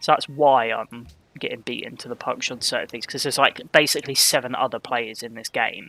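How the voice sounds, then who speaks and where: A man talks at a fairly quick pace, his loudness swinging widely. Music plays behind the dry, close sound, which has no echo. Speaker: gaming streamer. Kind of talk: live gameplay commentary. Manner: monotone; halting.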